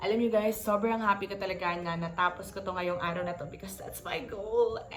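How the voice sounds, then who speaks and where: A woman with a Filipino accent talks at a very fast pace in an animated tone, her medium-pitched voice swinging widely in loudness over noticeable background noise and audible room echo. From Philippines. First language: Tagalog. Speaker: book vlogger. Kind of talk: casual vlog talk, Taglish book review.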